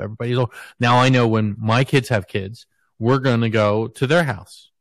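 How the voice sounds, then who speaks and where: A man with a medium pitch talks at a moderate pace in a normal speaking voice. The sound is dry and close with no echo, over a quiet background. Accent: American. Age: 40s. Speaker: podcast host. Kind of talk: casual chat.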